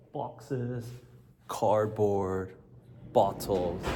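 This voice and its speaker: A man's fairly low, dark, mellow voice with vocal fry and an American accent, ordinary pitch variation, and audible room echo. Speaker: career coach and vlogger. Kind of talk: casual vlog tour. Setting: walking through apartment building. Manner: casual, filler-heavy.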